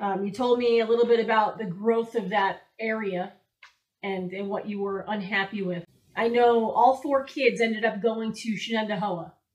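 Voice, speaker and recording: A woman talks in an ordinary speaking voice, fairly high in pitch. Her pace is moderate and her intonation fairly even. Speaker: interviewer. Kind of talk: casual interview questions.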